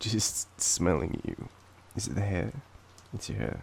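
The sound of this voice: A man with an Australian accent at a fairly slow pace, his slightly mellow tone carrying vocal fry and a slightly husky edge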